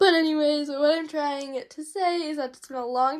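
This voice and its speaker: A woman speaks on a very clean recording, and the background is silent. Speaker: doll unboxing youtuber. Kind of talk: casual vlog unboxing.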